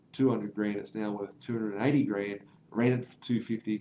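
A man speaks in an Australian accent with a dark, mellow tone and fairly low pitch. His intonation is fairly even, and light background noise can be heard. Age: 30s. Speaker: property investment educator. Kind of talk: live stream Q&A; livestream commentary answering viewer comments. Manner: casual, filler-heavy.

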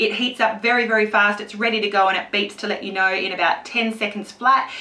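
A woman talks at a fairly quick pace. Her intonation stays fairly even. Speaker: beauty vlogger. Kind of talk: tutorial.

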